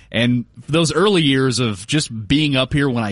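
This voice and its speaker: A man talks at a moderate pace in an unremarkable speaking voice. His pitch sits in the medium range, and his intonation is lively. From Dallas, Texas. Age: 40s. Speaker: sports radio host. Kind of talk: casual chat.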